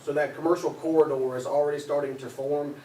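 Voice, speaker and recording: The voice has a monotone, flat intonation. Noticeable background noise can be heard. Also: man. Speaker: commercial real estate developer. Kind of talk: public presentation at a county board meeting. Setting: county commissioners' meeting room. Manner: loud.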